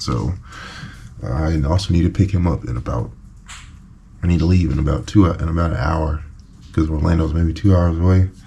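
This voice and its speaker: Long, frequent pauses break up a man's very deep, low-pitched speech amid noticeable background noise. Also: ordinary pitch variation. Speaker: boat refit vlogger. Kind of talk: casual work vlog. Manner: slow.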